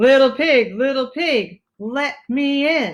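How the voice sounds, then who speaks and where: A put-on character voice, high-pitched and very slow. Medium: read story.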